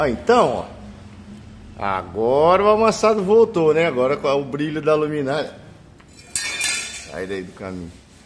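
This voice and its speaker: A man talks at a moderate pace with a fairly high pitch. His pitch swings very widely over noticeable background noise. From Brazil. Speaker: paintless dent repair technician. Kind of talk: tutorial. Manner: casual, colloquial. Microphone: phone near.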